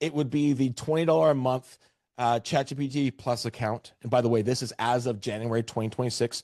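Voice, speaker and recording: An ordinary speaking voice, a man with a Canadian accent talks at a fairly quick pace and medium pitch with ordinary pitch variation, in a dry, close recording with no echo and a quiet background. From Canada, Vancouver area. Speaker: real estate AI trainer. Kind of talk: webinar presentation.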